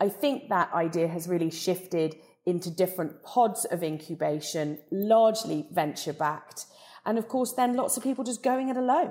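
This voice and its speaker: With a southern English accent, a woman of medium pitch speaks at a moderate pace in a dark, mellow tone and with lively intonation. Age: 40s. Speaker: beauty company CEO. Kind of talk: interview.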